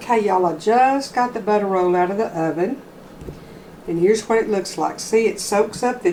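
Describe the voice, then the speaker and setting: A woman with a Texas accent, medium-pitched, at a moderate pace. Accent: Southern US (Texas). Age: 60s. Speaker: home cooking channel host. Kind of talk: cooking tutorial. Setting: home kitchen. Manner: casual, folksy.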